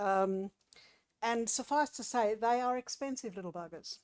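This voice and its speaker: Here is a woman with an Australian accent. She speaks at a fairly slow pace. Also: very clean recording, silent background. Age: 60s. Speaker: local councillor. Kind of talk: council meeting report. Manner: halting, with many fillers.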